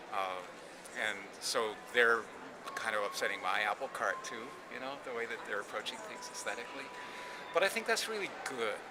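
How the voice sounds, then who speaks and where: Over noticeable background noise and audible room echo, a man at medium pitch talks at a fairly quick pace with lively intonation. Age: 60s. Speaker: craft artist speaking on the field's generations. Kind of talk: interview monologue. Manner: halting, with frequent repetitions and fillers.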